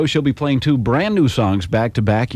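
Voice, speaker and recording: A man with an American accent talks at a fairly quick pace and medium pitch. There is noticeable noise in the background. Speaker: country radio disc jockey. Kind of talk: radio station aircheck, upbeat DJ patter.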